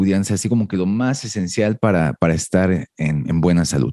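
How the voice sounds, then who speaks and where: With a Mexican accent, a man speaks at a fairly slow pace in a dark, mellow tone with lively intonation. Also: dry, close sound with no echo, quiet background. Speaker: fitness podcast host. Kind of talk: casual interview.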